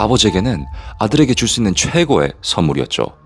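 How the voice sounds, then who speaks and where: Fairly low male voice with very wide pitch swings, a slight non-native accent, and music in the background. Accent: slightly non-native Korean pronunciation. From Korea, moved to Canada at age 8. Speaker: private investigator and storyteller. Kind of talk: true-crime story narration.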